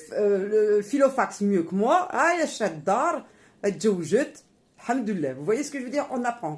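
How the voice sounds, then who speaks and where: A woman with a fairly high voice takes a fairly slow pace, her pitch swinging very widely. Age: 50s. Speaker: YouTuber, homemaker mother. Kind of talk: cooking tutorial vlog. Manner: animated; casual, informal.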